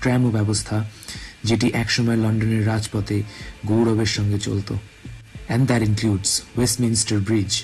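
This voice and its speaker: Music plays in the background as a man talks at medium pitch. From Kolkata, India. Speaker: travel vlogger. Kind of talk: scripted narration. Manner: formal.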